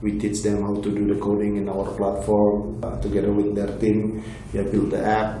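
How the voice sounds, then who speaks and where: Against noticeable background noise, a man with a fairly low pitch speaks in a monotone, flat intonation. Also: moderate pace. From Indonesia, Bali. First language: Indonesian. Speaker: tech company executive. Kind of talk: interview.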